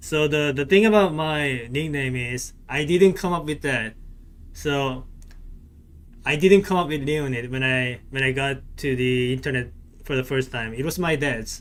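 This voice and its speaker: He speaks with a non-native accent at a fairly slow pace. His voice is fairly high for a man, with ordinary pitch variation. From South Korea. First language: Korean. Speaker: gaming streamer. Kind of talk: casual live-stream chat with game commentary. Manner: hesitant, frequent repetitions and fillers.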